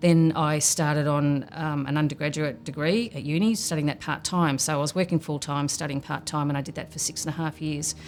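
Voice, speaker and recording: Her very deep, low pitch carries an Australian accent as this woman speaks at a fairly quick pace with fairly even intonation. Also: hardly any pauses. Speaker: program participant and mentor. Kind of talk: documentary interview.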